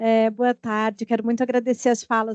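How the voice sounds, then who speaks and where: In a southern Brazilian accent, a woman with a fairly high pitch and a dark, mellow tone speaks at a moderate pace, the sound dry and close with no echo. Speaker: audience member, literature researcher. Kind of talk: academic Q&A question. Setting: academic seminar panel.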